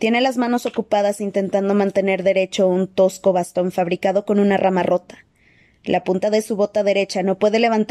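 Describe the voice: Fairly even intonation across plain reading aloud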